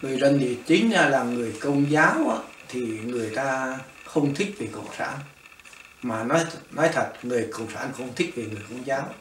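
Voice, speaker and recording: A man with a Northern Vietnamese accent speaks at a fairly slow pace and a medium pitch with ordinary variation, his loudness swinging widely amid audible room echo and noticeable background noise. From northern Vietnam, Móng Cái. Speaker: refugee, former fisherman. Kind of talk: oral history interview. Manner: halting, many fillers.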